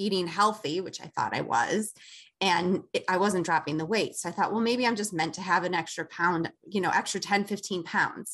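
With an American accent and an unremarkable speaking voice, the speaker goes at a moderate pace with ordinary pitch variation over a quiet background. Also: woman. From Chicago. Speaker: esthetician. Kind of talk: interview.

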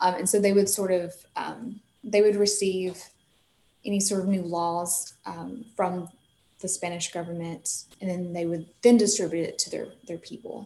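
A woman with a Southern US accent speaks at a moderate pace and medium pitch. Her tone is dark, mellow and somewhat breathy. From US South, north Mississippi. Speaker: park ranger. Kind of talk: interview.

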